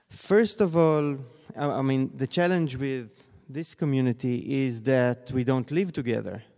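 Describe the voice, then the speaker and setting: A man with an Israeli accent speaks at a fairly slow pace, his pitch medium. His tone is dark and mellow, with ordinary pitch variation. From Israel, Tel Aviv. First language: Hebrew. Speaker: scholar of Zionism. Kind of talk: panel discussion. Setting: stage with audience.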